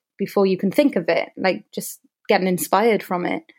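A woman with a Cardiff accent, medium pitch and moderate pace. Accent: Welsh (Cardiff). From Wales, Cardiff. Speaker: wedding videographer. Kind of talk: casual interview.

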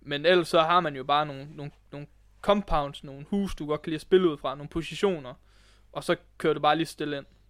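An unremarkable speaking voice moves at a fairly quick pace with fairly even intonation and big swings in loudness, in a very clean recording with a silent background. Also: man, fairly high pitch for a man. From West Jutland, Denmark. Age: 20s. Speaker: esports coach. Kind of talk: casual interview. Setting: esports club, in person.

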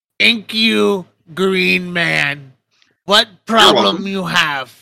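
A man puts on a character voice, pitched high. He talks at a very slow pace. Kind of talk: broken simple speech. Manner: acted, gruff and simple.

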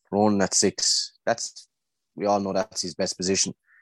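A man with an Irish accent, fairly low in pitch, at a moderate pace, the sound dry and close with no echo on a very clean recording with a silent background. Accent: Tipperary Irish. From Ireland, Tipperary. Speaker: GAA club member. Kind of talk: casual chat.

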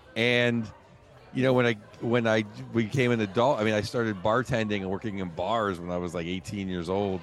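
Music plays in the background as a man speaks at a fairly quick pace. His pitch is fairly low, with ordinary variation. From Bismarck, North Dakota. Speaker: stand-up comedian. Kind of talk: casual storytelling interview.

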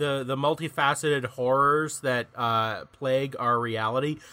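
A man's bright, sharp tone at a fairly slow pace. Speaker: podcast host. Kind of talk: casual comedic banter.

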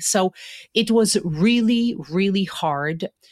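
A woman speaks with a Polish accent and ordinary pitch variation. The recording is very clean with a silent background and a dry, close sound with no echo. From Poland (Stalowa Wola area). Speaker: university faculty member. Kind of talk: interview, personal storytelling.

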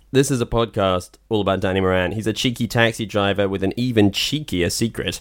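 A man's unremarkable speaking voice, fairly low in pitch with ordinary pitch variation, at a fairly quick pace, on a very clean recording with a silent background. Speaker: film podcast host. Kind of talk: casual chat.

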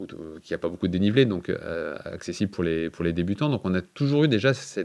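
Over a quiet background, the speaker talks at a fairly quick pace with lively intonation. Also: man. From France, Lorraine. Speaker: mayor and engineer. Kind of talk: interview. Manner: hesitant, many fillers and repetitions.

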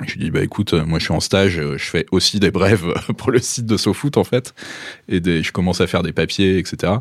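At a moderate pace, a man talks in a very deep, low voice whose pitch varies in an ordinary way. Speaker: magazine editor and journalist. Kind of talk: casual interview.

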